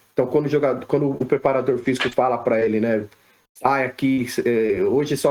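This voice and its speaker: A man's medium-pitched voice at a fairly quick pace, a normal speaking voice. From Brazil, São Paulo. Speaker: sports physiotherapist. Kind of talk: podcast interview.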